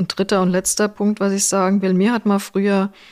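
A woman is captured in a very clean recording over a silent background. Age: 60s. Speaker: HR executive and professor. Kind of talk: interview.

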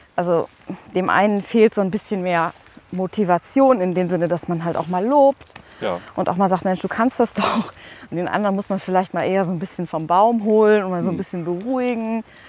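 Noticeable background noise runs behind a woman at a medium pitch. She talks at a fairly quick pace with ordinary pitch variation. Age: 40s. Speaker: radio presenter and editor-in-chief. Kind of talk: casual interview.

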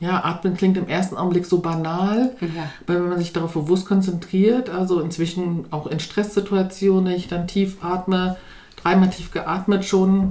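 With a dark, mellow tone, a woman speaks at a moderate pace in a monotone, flat intonation. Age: 40s. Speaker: former course participant, mother, NGO worker. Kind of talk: interview. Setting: in person, sitting together over tea.

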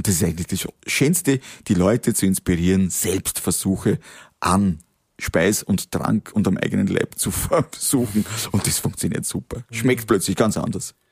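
A man with a Lower Austrian accent talks at a moderate pace in a fairly low pitch with ordinary pitch variation. The sound is dry and close, with no echo. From Austria, Waldviertel (Lower Austria). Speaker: company founder. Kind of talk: interview. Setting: cabin on location. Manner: animated.

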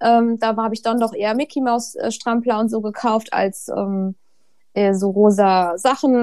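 In a very clean recording with a silent background, a woman speaks in a plain, everyday voice. Her pitch is fairly high, her intonation fairly even. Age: 30s. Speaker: author and mother of two. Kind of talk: casual interview.

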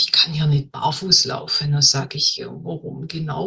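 A woman at a fairly slow pace. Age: 50s. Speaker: health consultant. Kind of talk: interview.

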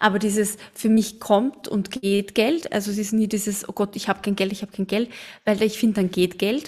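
A woman in an Austrian accent, medium-pitched and somewhat breathy, at a moderate pace with fairly even intonation. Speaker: podcast co-host. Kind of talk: casual chat.

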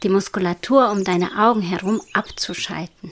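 A woman speaks fairly slowly at a medium pitch with ordinary pitch variation. Hers is a plain, everyday voice. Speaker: meditation guide. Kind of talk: guided meditation. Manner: slow, soothing and hypnotic; soft-spoken, calm, with long pauses.

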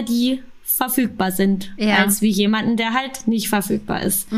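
A woman speaks with a Bavarian accent over noticeable background noise. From Munich, Bavaria. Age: 30s. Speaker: podcast guest in an open marriage. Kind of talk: casual interview.

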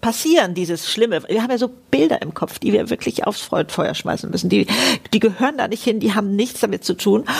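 A woman with lively intonation speaks fairly quickly while background noise remains noticeable. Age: 70s. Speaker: podcast host. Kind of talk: casual chat.

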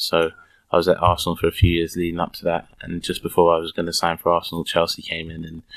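The speech comes at a very fast pace in a London accent, with monotone, flat intonation. Loudness swings widely against a quiet background. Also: man, very deep, low pitch for a man. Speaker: professional footballer. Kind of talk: interview. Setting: recorded in a fan shop. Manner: very soft-spoken.

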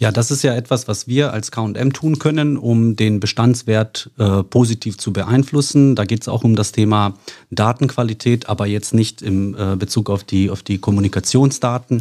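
A man speaks in a dark, mellow tone at a medium pitch, with ordinary pitch variation. His moderate pace has hardly any pauses. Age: 40s. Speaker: insurance sales executive. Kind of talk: casual interview.

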